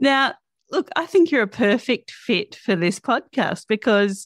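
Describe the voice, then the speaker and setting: A speaker with an Australian accent talks at a moderate pace, the pitch swinging very widely. The sound is dry and close with no echo, on a very clean recording over a silent background. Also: woman. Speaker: podcast host. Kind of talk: reading guest introduction; interview podcast.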